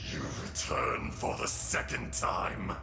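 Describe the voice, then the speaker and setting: A man whispering in a cartoonish character voice at a fairly slow pace, with loud background noise and a slight echo. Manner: bitter, wrathful.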